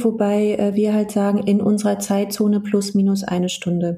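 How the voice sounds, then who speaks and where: Fairly slow delivery in a somewhat breathy voice with a dark, mellow tone. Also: woman. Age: 40s. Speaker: HR business partner and coach. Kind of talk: casual interview. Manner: hesitant, many fillers.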